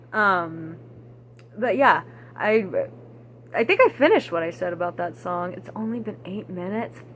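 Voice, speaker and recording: A woman with an American accent speaks in a fairly low pitch, with vocal fry and very wide pitch swings. Her pauses are long and frequent. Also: moderate pace, big swings in loudness. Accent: Texan, stronger when angry and with age. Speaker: vlogger. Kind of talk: casual monologue vlog. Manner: rambling, halting with many fillers.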